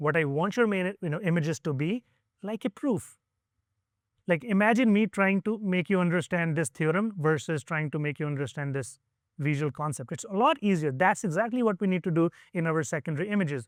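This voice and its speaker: The man's pitch is high and his intonation lively, at a fairly quick pace. The sound is dry and close, with no echo. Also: very clean recording, silent background. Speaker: conference speaker on online selling. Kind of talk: conference talk. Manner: fast; animated, many fillers.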